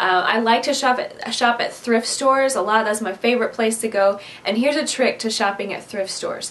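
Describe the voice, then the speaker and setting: With a Midwestern accent, a woman talks at a fairly quick pace and a fairly high pitch. Noticeable background noise sits behind her. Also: fairly even intonation. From US Midwest. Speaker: DIY craft vlogger. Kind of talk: casual tutorial Q&A to camera. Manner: chatty, conversational.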